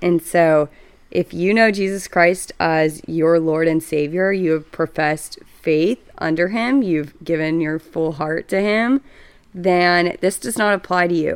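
At a fairly slow pace, a woman with a Texan accent speaks in a fairly low pitch with ordinary pitch variation. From Texas, Dallas. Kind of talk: casual chat. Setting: home, on a couch.

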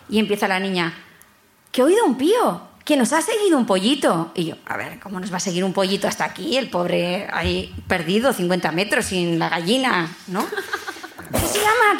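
Audible room echo and noticeable background noise both surround a woman as she speaks. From Bilbao, Basque Country. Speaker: audience member. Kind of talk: storytelling to live audience. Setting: stage with live audience.

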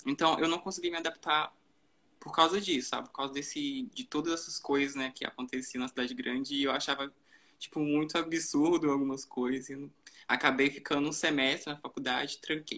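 A man's fairly high voice, bright and sharp in tone, with fairly even intonation at a fairly quick pace. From Brazilian countryside. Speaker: fashion social media manager. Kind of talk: live-stream conversation. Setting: live stream on Instagram.

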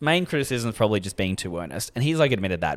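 Speaking with an Australian accent, a man swings his pitch very widely. It leaps up and down a great deal. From Australia, Sydney. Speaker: podcast co-host, comedian. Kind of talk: casual chat.

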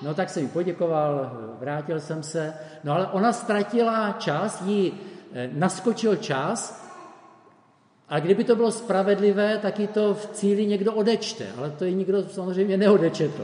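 There's noticeable background noise and audible room echo as a man speaks high-pitched at a fairly slow pace, with ordinary pitch variation. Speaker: preacher. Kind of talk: sermon.

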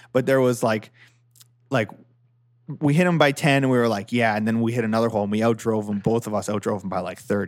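A man with a Canadian accent at a medium pitch, talking very fast with long, frequent pauses. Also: ordinary pitch variation. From Ontario, Canada. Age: 30s. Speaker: golf podcast host. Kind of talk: casual chat.

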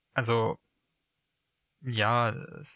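Captured in a very clean recording with a silent background, a man speaks at medium pitch. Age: 20s. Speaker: podcast guest in a long-distance relationship. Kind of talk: casual conversation. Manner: halting.

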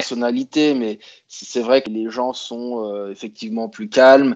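Here a man talks at a fairly slow pace in a plain, everyday voice. His pitch is medium, and the background is quiet. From France, Grenoble (Alps). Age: 30s. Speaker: expat interviewee. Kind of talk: interview conversation.

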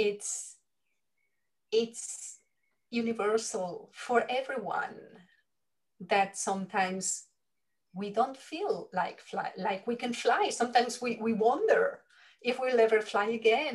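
A woman with a Spanish accent speaks fairly slowly in a somewhat breathy, fairly high voice, pausing long and often. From Spain. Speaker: leadership coach. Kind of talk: interview conversation.

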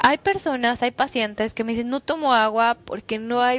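Her pitch varies in an ordinary way. This woman's voice is fairly high. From Mexico, Toluca. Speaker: nutritionist. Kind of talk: solo podcast talk. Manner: halting, many fillers.

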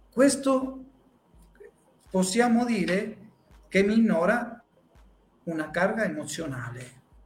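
A man's high-pitched voice, very slow, with long, frequent pauses, very wide pitch swings, and audible room echo. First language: Spanish (speaking Italian). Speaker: psychologist. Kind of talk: talk.

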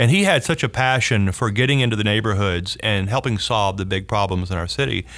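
Speaking in a Southern US accent, the voice moves at a fairly quick pace with hardly any pauses and ordinary pitch variation. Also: man, fairly low pitch for a man. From US South, North Louisiana. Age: 50s. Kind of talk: interview conversation.

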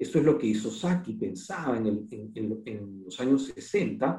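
A man talks at a moderate pace in an ordinary speaking voice. His intonation is lively. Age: 50s. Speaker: architect and university dean. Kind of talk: lecture.

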